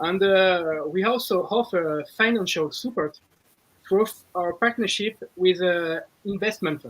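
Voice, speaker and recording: With a French accent, a man speaks at a moderate pace and high pitch, with ordinary pitch variation, big swings in loudness and long, frequent pauses. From France and Brazil. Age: 30s. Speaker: business executive. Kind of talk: interview. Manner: halting, with fillers.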